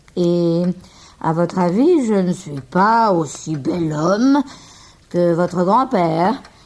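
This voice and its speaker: Using a put-on character voice that is gruff and fairly low for a woman, she speaks at a fairly slow pace with lively intonation and long, frequent pauses. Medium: read story. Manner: curt, dryly teasing.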